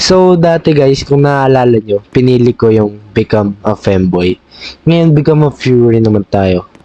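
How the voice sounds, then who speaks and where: Against noticeable background noise, a man at medium pitch speaks at a fairly slow pace with very even loudness and lively intonation. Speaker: gaming youtuber. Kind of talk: gameplay commentary. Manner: animated; halting.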